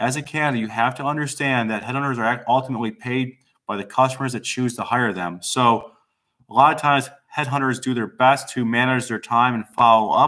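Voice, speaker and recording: A man of medium pitch speaks at a fairly quick pace in a bright, sharp tone with fairly even intonation, on a very clean recording with a silent background. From Italian-American. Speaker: executive recruiter, firm CEO. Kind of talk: live stream talk. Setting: live video stream. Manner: fast.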